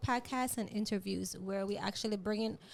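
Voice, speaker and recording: A woman with a Jamaican accent talks at a moderate pace. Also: very clean recording, silent background. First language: Jamaican Patois. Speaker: podcast host. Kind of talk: casual interview chat. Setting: studio.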